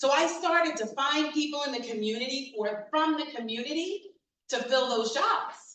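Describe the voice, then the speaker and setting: In an animated tone, a woman with an American accent speaks at high pitch and a moderate pace with lively intonation, amid audible room echo. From New York City, the Bronx. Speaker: diversity and inclusion consultant. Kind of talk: keynote talk.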